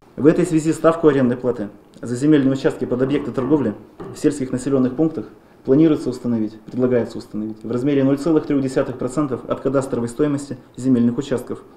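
Here a man speaks at a fairly quick pace and a medium pitch, with fairly even intonation. Room echo is audible. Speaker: regional land control official. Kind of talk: formal meeting presentation. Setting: administration meeting. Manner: formal. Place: meeting room. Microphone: podium.

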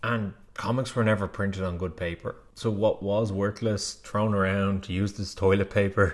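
At a moderate pace, a man speaks with a fairly low pitch. His pitch moves very little.

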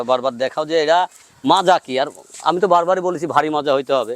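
Fairly high in pitch with ordinary variation, a man speaks in a plain, everyday voice. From Bangladesh, Pabna district. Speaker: cattle farmer and seller. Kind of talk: sales pitch.

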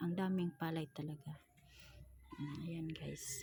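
A woman speaks at a fairly low pitch. Her pace is fairly slow. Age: 40s. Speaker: vlogger. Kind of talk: travel vlog narration. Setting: outdoors, travelling by motorbike and on foot.

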